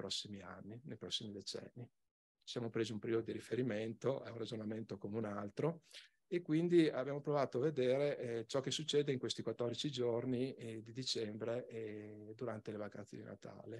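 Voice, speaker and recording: Loudness swings sharply as a man speaks at a fairly quick pace. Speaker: regional environment official; conference presenter. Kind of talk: conference presentation. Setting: conference hall. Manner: soft-spoken. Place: hall.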